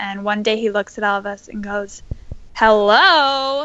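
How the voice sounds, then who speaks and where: A woman with an unremarkable speaking voice talks at a fairly slow pace and a fairly high pitch. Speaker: interview guest with family experience of mental illness. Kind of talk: casual interview conversation.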